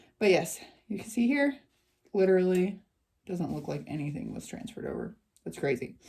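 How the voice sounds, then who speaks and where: Through a layer of vocal fry, a woman speaks with very wide pitch swings. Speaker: crafting YouTuber. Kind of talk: product review tutorial. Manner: casual, filler-heavy.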